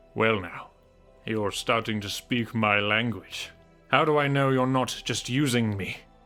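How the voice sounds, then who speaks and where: A man puts on a character voice at medium pitch. He talks at a moderate pace with faint music in the background. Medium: solo performance. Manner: gruff, world-weary.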